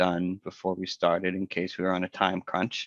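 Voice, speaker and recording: A man with a plain, everyday voice, fairly low in pitch, at a moderate pace, with a dry, close sound with no echo and a quiet background. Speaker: software presenter. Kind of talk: tutorial.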